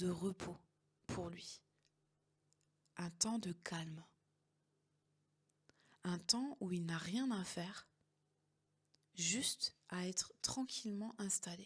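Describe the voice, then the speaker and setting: At a very slow pace, a woman speaks in a somewhat breathy medium-pitched voice with ordinary pitch variation. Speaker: hypnotherapist and coach. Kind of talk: guided meditation. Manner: slow, soft-spoken.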